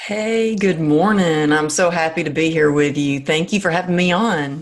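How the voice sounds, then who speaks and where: A woman's fairly low voice with a slight Southern US accent, very even loudness, moderate pace and ordinary pitch variation. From small-town Texas. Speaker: former dancer and fitness coach. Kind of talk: interview.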